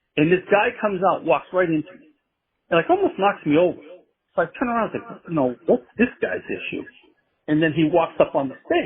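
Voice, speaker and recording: Talking at a fairly quick pace, a man with an American accent uses a high pitch, lively intonation and big swings in loudness. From Massachusetts. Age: 60s. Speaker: band manager. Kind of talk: interview.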